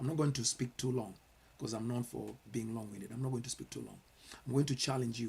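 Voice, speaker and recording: Somewhat breathy, a man at medium pitch talks at a very fast pace with fairly even intonation. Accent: Kenyan. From Kenya. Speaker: pastor. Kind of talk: sermon-style commentary. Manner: earnest, with repetitions and hesitations.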